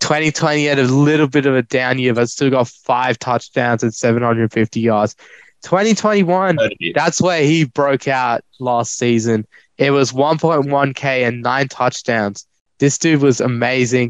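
A man with an Australian accent speaks at a very slow pace and a medium pitch, his loudness very even and his pitch varying in an ordinary way. The sound is dry and close, with no echo, against a quiet background. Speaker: fantasy football co-host. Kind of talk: casual banter.

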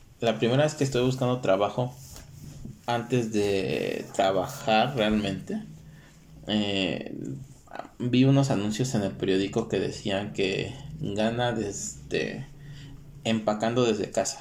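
A man with a medium pitch and ordinary pitch variation speaks at a very slow pace with long, frequent pauses, with noticeable background noise and audible room echo. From Mexico, Guerrero state. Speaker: podcast co-host. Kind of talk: casual chat.

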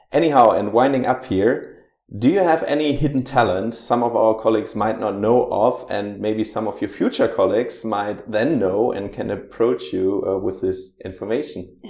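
A man with a German accent speaks at a medium pitch, with hardly any pauses. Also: ordinary pitch variation, moderate pace. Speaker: podcast host. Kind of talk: interview.

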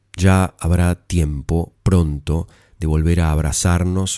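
The tone is dark and mellow, with fairly even intonation. It is a very clean recording with a silent background and a dry, close sound with no echo. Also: man. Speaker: storyteller podcast host. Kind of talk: personal reflection; reading aloud.

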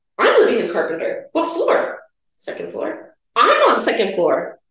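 At a moderate pace, a woman speaks in an American accent amid audible room echo. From Minnesota. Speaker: pharmacy student. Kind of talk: casual chat.

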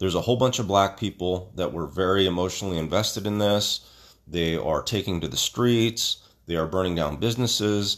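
A fairly quick pace and ordinary pitch variation on a very clean recording with a silent background. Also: man, very deep, low pitch for a man. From Stockton, California (Filipino-American community). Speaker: podcast host. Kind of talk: opinion monologue. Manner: halting, with many fillers; heated.

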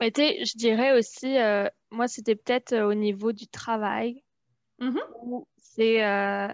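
The woman speaks at a very slow pace with fairly even intonation. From France. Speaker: immigrant guest. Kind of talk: casual chat.

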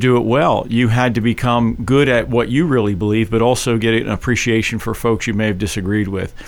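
With an American accent and a normal speaking voice, a man talks at a fairly quick pace in a medium pitch with fairly even intonation. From Philadelphia, South Philly. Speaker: political candidate. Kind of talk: radio interview. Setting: radio studio.

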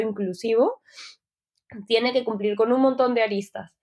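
This is a woman with an unremarkable speaking voice. Her pitch varies in an ordinary way. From Peru. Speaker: UX designer. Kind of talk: interview.

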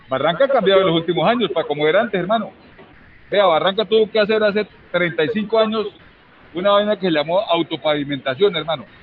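Amid noticeable background noise, a man talks very fast in an animated tone with a high pitch. His pitch variation is ordinary and his loudness stays very even. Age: 50s. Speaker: trade union leader. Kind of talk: interview.

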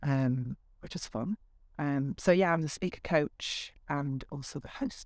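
Fairly slow speech in a Yorkshire accent. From Yorkshire, northern England. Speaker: speaker coach. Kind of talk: casual interview. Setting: at her home.

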